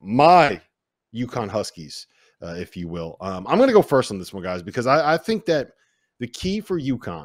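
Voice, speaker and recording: In a very clean recording with a silent background and a dry, close sound free of echo, a man speaks in an animated tone at a medium pitch. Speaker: podcast host. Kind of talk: casual sports banter, holiday special. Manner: animated, joking.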